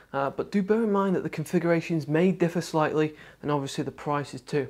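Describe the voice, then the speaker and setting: Against a quiet background, a man talks in a high voice with fairly even intonation. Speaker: tech reviewer. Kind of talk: product review presentation. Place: studio.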